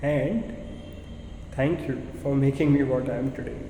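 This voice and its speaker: A man with an Indian accent and a fairly high pitch, at a fairly slow pace, amid noticeable background noise and audible room echo. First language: Hindi. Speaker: PhD research scholar. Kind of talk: thank-you speech. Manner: formal.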